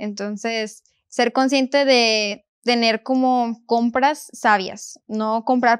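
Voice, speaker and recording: A woman's fairly even intonation comes through with a quiet background. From northern Mexico, Montemorelos, Nuevo León; Nuevo León, Mexico. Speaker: university student; guest. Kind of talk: Bible study discussion; interview answer. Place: studio. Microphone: lapel.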